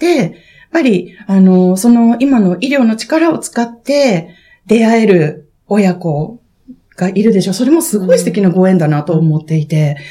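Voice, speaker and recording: The voice has a dark, mellow tone and sounds somewhat breathy. It moves at a fairly slow pace with very wide pitch swings. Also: woman, medium pitch for a woman. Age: 40s. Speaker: podcast host. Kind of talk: casual chat. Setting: public recording with live audience.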